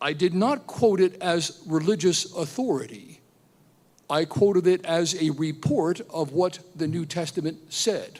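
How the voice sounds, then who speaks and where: Speaking at a fairly slow pace, a man with a Pennsylvania accent talks in a high pitch. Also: ordinary pitch variation. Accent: American, Pennsylvania. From Pennsylvania, US. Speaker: professor. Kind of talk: testimony. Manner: animated.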